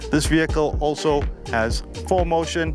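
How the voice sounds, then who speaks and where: A man speaks in a dry recording with no echo, faint music playing in the background. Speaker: car reviewer. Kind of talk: presenter review. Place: open country. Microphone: lapel.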